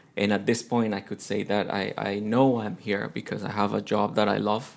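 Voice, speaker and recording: A man with a Spanish accent speaks at a moderate pace and a fairly low pitch. His intonation is monotone and flat, with vocal fry. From Colombia, Bogota. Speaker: teacher and amateur musician. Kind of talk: interview.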